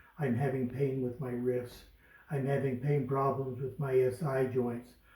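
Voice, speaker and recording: A man at medium pitch and a fairly slow pace, monotone and flat, with audible room echo. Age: 70s. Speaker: customer giving testimonial. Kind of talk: testimony.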